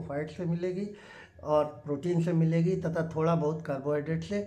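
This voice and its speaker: The man speaks with a high pitch. His voice carries audible room echo. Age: 60s. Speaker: doctor. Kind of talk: health talk.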